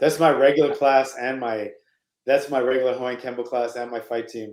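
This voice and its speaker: A man's medium-pitched voice, flat and monotone, at a fairly quick pace with big swings in loudness. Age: 60s. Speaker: martial arts coach. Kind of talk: casual chat.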